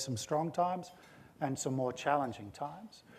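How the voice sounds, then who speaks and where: A fairly quick-paced male speaker with an Australian accent. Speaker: corporate CEO. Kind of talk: on-stage interview.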